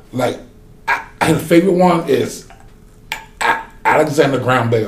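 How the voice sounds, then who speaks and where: With an American accent, a man speaks in an animated tone over noticeable background noise. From US South, North Carolina. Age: 40s. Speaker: oil rig worker. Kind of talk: casual chat. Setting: studio.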